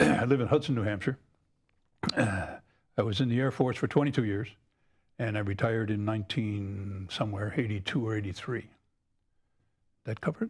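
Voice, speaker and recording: On a very clean recording with a silent background, a man with an American accent and a fairly low pitch speaks in a somewhat breathy voice, leaving long, frequent pauses. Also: ordinary pitch variation, moderate pace. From upstate New York, Syracuse. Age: 70s. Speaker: air force veteran. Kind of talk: interview.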